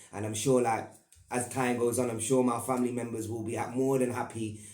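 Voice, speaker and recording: A man's medium-pitched, monotone, flat delivery at a fairly quick pace, with audible room echo. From Northern Ireland, Belfast. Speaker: YouTuber. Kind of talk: personal storytelling monologue. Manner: casual, halting with repetitions.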